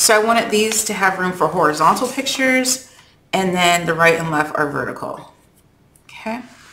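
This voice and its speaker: Amid noticeable background noise, a woman of medium pitch talks at a moderate pace with lively intonation. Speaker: craft video creator. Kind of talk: tutorial. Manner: casual, many fillers.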